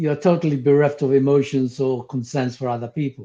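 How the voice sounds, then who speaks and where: Someone with a non-native accent speaks over music in the background. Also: man. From came to the UK at eleven from abroad. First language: not English. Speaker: spiritual teacher, former psychotherapist. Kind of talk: interview conversation. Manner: halting, with fillers.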